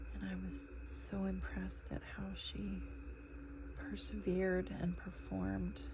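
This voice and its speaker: Soft-spoken delivery comes with an American accent. Noticeable background noise is present. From New England, USA. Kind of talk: ASMR soft-spoken chatter while crafting. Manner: soft-spoken, relaxing.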